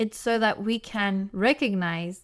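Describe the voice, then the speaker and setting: The speaker has a South African accent. The recording is very clean with a silent background. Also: woman. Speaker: podcast host, family therapist. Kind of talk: solo podcast monologue. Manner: casual, animated.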